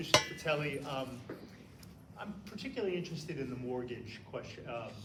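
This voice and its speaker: The speech is fairly quick, with lively intonation and big swings in loudness. Audible room echo and noticeable background noise are present. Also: man, fairly high pitch for a man. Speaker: rent board member. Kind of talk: questioning at public hearing. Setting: public hearing in library.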